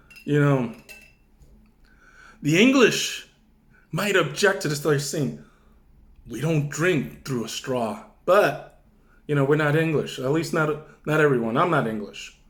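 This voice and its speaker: Delivery is fairly slow, broken by long, frequent pauses. The pitch varies in an ordinary way, with audible room echo. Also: man, fairly high pitch for a man. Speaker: wine reviewer YouTuber. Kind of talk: casual wine tasting vlog. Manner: loud, near shouting.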